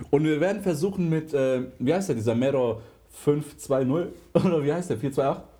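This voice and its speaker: With ordinary pitch variation and a fairly high pitch, a man speaks at a moderate pace. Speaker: podcast co-host. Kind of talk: casual chat.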